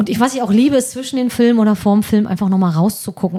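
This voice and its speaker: A woman speaks with a dark, mellow tone that is somewhat breathy, her pitch varying in an ordinary way. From northeastern Germany (Mecklenburg-Vorpommern). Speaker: social worker, volunteer at a film club. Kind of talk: casual chat.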